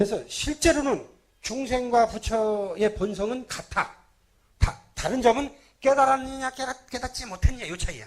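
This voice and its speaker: This man's pitch is extremely high, with ordinary pitch variation and big swings in loudness. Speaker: Buddhist monk. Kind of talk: sermon. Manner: fast.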